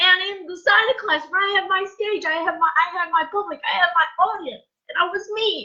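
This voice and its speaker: A woman speaks in a raised, projected voice at an extremely high pitch with ordinary pitch variation. Her tone is bright and sharp, and her pace fairly quick. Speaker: former teacher, life coach. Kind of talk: emotional live stream monologue. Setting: Facebook live video. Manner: loud.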